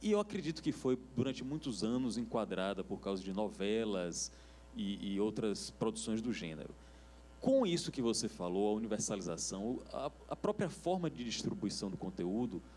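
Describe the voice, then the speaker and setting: With a Bahian accent, a man talks at a moderate pace. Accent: Bahian accent, keeps it. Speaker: TV industry panelist. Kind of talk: panel discussion.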